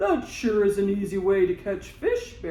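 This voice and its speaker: A put-on character voice sits at a middle pitch. Light background noise runs underneath. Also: moderate pace. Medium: read story. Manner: eager, trusting.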